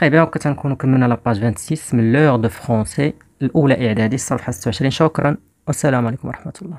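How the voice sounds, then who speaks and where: At a fairly quick pace and with ordinary pitch variation, this is a normal speaking voice. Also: man, medium pitch for a man. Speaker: teacher. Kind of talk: tutorial.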